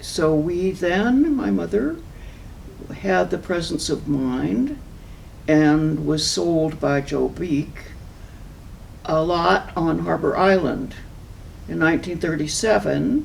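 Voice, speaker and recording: A woman speaks at a very slow pace with long, frequent pauses. Audible room echo fills the recording. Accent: American. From Southern California. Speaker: local environmental activist. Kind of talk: oral history interview.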